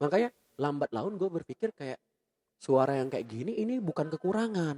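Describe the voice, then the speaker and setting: Shrill yet with a dark, mellow tone, the voice moves at a fairly quick pace through very wide pitch swings, in a dry, close sound with no echo. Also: man. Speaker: radio announcer. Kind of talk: casual podcast chat. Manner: playful, comedic.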